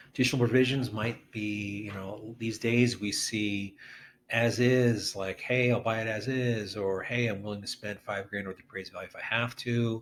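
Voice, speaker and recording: A man with an ordinary speaking voice and medium pitch keeps a moderate pace and fairly even intonation. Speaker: real estate agent. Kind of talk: tutorial. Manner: casual, with filler words.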